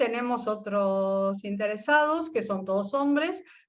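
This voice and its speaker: With lively intonation, the talking proceeds at a fairly slow pace. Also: woman. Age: 60s. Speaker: physician. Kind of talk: interview testimony. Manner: halting, with self-corrections.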